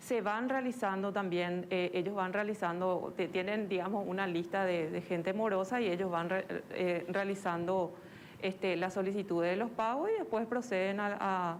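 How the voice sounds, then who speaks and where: A woman's voice with fairly even intonation and very even loudness, plus audible room echo. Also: medium pitch for a woman, moderate pace. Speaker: social security official. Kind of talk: TV interview.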